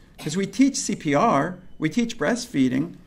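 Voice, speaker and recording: Audible room echo surrounds a man's high-pitched voice as it swings very widely in pitch. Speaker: pediatrician and lecturer. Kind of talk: lecture. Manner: fast.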